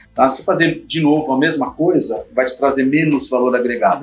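Against noticeable background noise, a man speaks at a fairly high pitch. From Brazil, São Paulo. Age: 50s. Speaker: IT executive. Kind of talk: interview.

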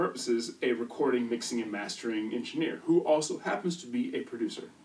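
With a slight Midwestern US accent, a man talks at a moderate pace. His pitch is medium and his intonation lively. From US Midwest. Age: 30s. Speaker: music producer. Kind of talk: casual interview chat.

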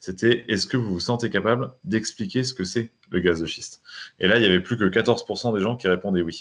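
This man has an ordinary speaking voice at a fairly low pitch. He talks at a moderate pace with ordinary pitch variation. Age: 30s. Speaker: entrepreneur, newspaper cofounder. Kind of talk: interview.

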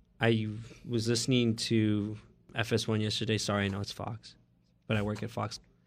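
A man with an American accent, fairly low in pitch, at a moderate pace in monotone, flat intonation, with long, frequent pauses. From Oakland, California. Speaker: podcast co-host. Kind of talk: casual chat. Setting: studio.

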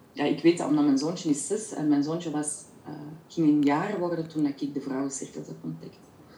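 A woman with a very deep, low pitch speaks at a fairly quick pace with fairly even intonation, amid noticeable background noise. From Belgium, Flemish Brabant (Kortenberg). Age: 40s. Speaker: women's circle facilitator. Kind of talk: interview. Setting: video call. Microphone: poor audio, recorded through host's microphone.

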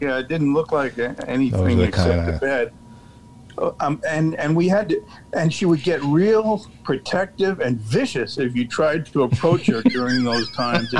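Music plays behind a man speaking at a moderate pace. His fairly high pitch swings very widely. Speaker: radio call-in caller.

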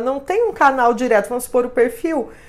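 A woman speaks with lively intonation. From interior of São Paulo state, Brazil. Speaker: social media influencer and consultant. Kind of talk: interview.

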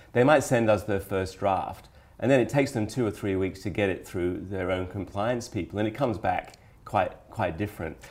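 At a moderate pace, a man with a fairly low pitch uses an ordinary speaking voice with ordinary pitch variation. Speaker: podcast host and financial publisher editor. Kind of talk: casual business chat podcast.

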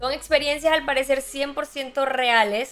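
A woman speaks at a fairly slow pace in a high voice with a bright, sharp tone. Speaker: podcast host. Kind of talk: casual chat. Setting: live stream.

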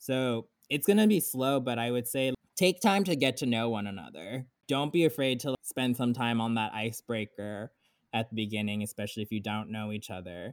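A man with an American accent and a normal speaking voice talks fairly quickly at a medium pitch with ordinary pitch variation. The recording is very clean with a silent background and a dry, close sound with no echo. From South Florida. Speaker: ballet dancer and book club leader. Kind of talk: casual interview.

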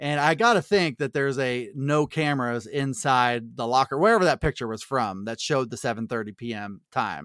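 Delivered with lively intonation at a fairly quick pace and hardly any pauses, the speech has a dry, close sound with no echo on a very clean recording with a silent background. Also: man, medium pitch for a man. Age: 40s. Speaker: sports podcast co-host. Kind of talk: casual chat. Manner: halting.

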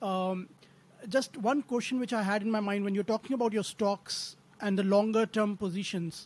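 A man with an Indian accent talks at a high pitch. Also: moderate pace. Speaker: podcast co-host, value investor. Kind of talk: interview questions.

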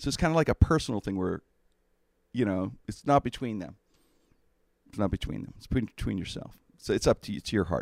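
A man with a fairly low pitch and vocal fry talks at a fairly quick pace with very wide pitch swings, big swings in loudness, and long, frequent pauses, in a dry, close sound with no echo. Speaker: podcast host. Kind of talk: casual interview chat. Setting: studio.

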